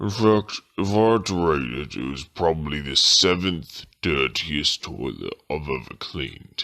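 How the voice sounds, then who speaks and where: At a moderate pace, a man puts on a character voice pitched very deep and low. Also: lively intonation. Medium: comedy sketch.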